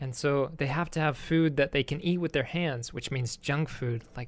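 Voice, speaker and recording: His intonation is fairly even. This man's voice sits at a medium pitch. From Texas. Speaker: English teacher and communication consultant. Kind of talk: reading aloud; casual chat.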